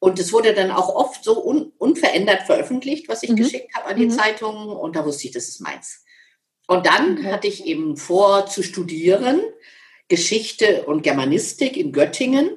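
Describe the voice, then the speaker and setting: Somewhat breathy and medium in pitch, a woman speaks at a moderate pace with very wide pitch swings. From Lower Saxony, Germany (Schaumburg area). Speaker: motivational speaker and author. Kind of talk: interview.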